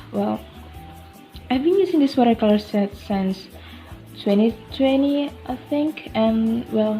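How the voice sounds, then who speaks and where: A woman with lively intonation and a fairly high pitch, at a fairly slow pace, music playing behind her. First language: not English. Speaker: amateur watercolor artist. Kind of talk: casual art video voice-over.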